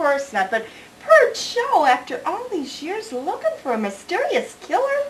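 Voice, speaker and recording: Put-on character voice at an extremely high pitch, very wide pitch swings, moderate pace, clear background noise. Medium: short film.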